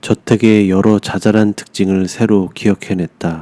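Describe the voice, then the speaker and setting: Speaking at a very slow pace, a man has a dark, mellow tone, fairly even intonation and a fairly low pitch. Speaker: audiobook narrator. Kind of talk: bedtime short story reading.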